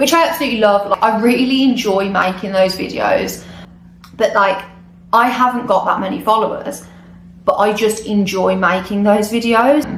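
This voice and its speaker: A British accent with ordinary pitch variation, noticeable background noise and audible room echo. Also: woman, fairly high pitch for a woman, moderate pace. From UK. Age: 20s. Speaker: travel vlogger. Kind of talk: casual vlog monologue. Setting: recording alone on camera. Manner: hesitant, unscripted.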